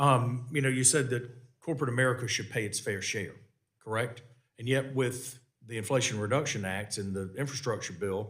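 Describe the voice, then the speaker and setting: In a Southern US accent, a man speaks at a fairly quick pace with a medium pitch and ordinary pitch variation. Room echo is audible. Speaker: congressman chairing a committee hearing. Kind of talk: congressional hearing questioning. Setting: committee hearing room. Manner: halting, many fillers and repeats.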